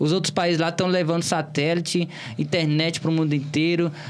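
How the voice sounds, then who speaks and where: A man with a Bahian accent speaks at a moderate pace in a high pitch, his intonation monotone and flat. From Bahia, Brazil (Cícero Dantas, interior). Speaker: political candidate. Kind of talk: interview.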